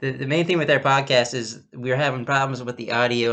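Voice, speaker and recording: Male speech, medium in pitch. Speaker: podcast host. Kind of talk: casual chat. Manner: loud; halting, many restarts. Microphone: laptop recording, own voice louder than call partner.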